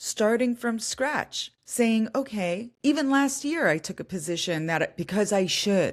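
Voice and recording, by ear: On a very clean recording with a silent background, a woman speaks slowly at a fairly high pitch with ordinary pitch variation.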